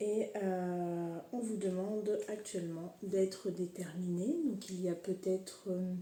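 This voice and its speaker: A woman at medium pitch with fairly even intonation and audible room echo. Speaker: horoscope reader and energy healer. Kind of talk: casual tarot-style horoscope reading. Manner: hesitant, many fillers; relaxed, unhurried.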